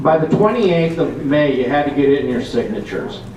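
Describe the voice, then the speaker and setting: Over noticeable background noise and audible room echo, a man talks at a fairly high pitch for a man. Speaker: political activist. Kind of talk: convention talk.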